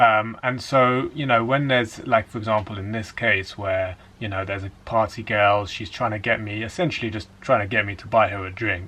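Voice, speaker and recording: With an English accent, a man talks at a moderate pace and fairly low pitch, his intonation fairly even, his loudness swinging widely, hardly pausing, over noticeable background noise. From England. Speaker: dating coach. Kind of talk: casual talk to camera.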